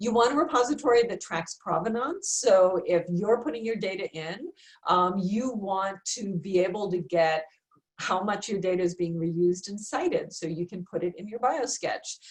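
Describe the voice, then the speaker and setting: At a moderate pace and medium pitch, a woman with an unremarkable speaking voice talks with ordinary pitch variation. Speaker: research administrator presenting a seminar. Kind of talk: webinar presentation. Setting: virtual seminar.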